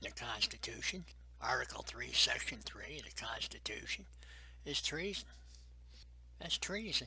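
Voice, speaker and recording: Whispering in an American accent, a man keeps a moderate pace, with long, frequent pauses and big swings in loudness. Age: 70s. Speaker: navy veteran. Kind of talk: interview testimony. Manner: emphatic.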